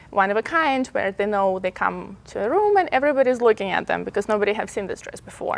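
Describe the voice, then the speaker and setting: Her voice is set against noticeable background noise. A woman at a fairly high pitch talks at a very fast pace with lively intonation and hardly any pauses. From Belarus. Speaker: fashion designer. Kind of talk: interview.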